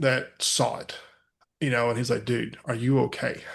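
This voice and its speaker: Talking at a fairly slow pace, a man with a West Texas accent has a medium-pitched voice. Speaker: mental health speaker. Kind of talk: podcast interview.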